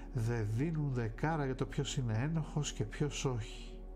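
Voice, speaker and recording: A man speaks at a fairly slow pace. Music plays clearly behind him. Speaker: ASMR streamer reading a novel. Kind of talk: audiobook narration of a novel. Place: home room. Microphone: studio mic.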